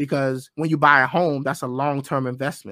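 A man with an American accent and a normal speaking voice, medium in pitch, at a fairly quick pace with fairly even intonation, over a very clean recording and silent background. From US, grew up in urban housing projects. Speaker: conservative political podcaster. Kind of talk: debate.

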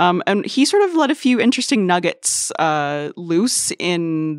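With an unremarkable speaking voice and a fairly low pitch, a woman uses lively intonation on a very clean, silent-background recording that sounds dry and close with no echo. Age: 40s. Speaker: education reporter. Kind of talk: casual chat. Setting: studio.

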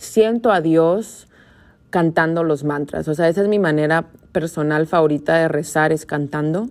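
A woman's very deep, low voice at a fairly slow pace with ordinary pitch variation. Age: 20s. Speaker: podcast host, yoga teacher. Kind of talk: casual monologue.

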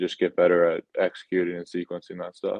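Very deep and low in pitch, a man talks at a fairly quick pace with an American accent. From Massachusetts, near Worcester. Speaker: professional baseball pitcher. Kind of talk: interview.

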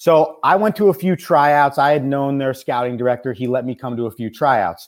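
On a very clean recording with a silent background, a man uses a normal speaking voice at a fairly high pitch, talking fairly quickly with lively intonation. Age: 20s. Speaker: college baseball coach and radio host. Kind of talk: casual chat.

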